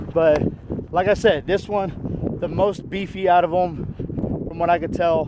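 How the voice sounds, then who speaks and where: Over noticeable background noise, a man is shouting loudly at a high pitch. His intonation is monotone and flat, and his pace fairly slow. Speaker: disc golf reviewer. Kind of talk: product review while throwing. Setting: outdoors in strong wind. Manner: loud, yelling over wind. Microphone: poor audio from wind.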